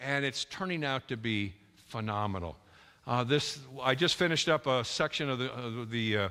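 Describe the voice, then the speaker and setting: A man with an Upper Midwest accent, an animated, bright and sharp tone, medium pitch, ordinary pitch variation and a moderate pace. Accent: Upper Midwest American. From North Dakota (Dickinson). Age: 70s. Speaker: creationist speaker. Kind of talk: lecture. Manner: animated, halting with fillers.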